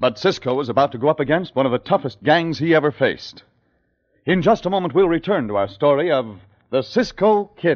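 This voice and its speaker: Lively intonation and vocal fry mark this man's fairly high voice as he speaks at a fairly quick pace. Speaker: radio drama announcer narrator. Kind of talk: 1950s old-time radio announcer narration.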